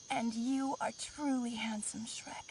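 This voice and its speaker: A put-on character voice, female-sounding and high-pitched for a woman, at a fairly slow pace. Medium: video game.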